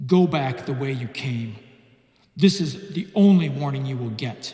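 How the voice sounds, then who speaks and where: Heard with slight echo, a man puts on a character voice at medium pitch, moving at a moderate pace with lively intonation and big swings in loudness. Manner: menacing, warning.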